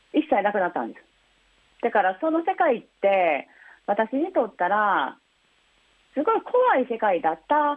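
The voice moves at a moderate pace with long, frequent pauses, very wide pitch swings and big shifts in loudness. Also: woman. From Osaka. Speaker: blind influencer and massage therapist. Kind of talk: interview. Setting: phone call.

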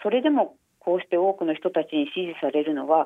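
Her pitch swings very widely as a woman talks at a fairly quick pace. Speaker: newspaper fashion journalist. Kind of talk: interview. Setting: phone call. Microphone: phone line.

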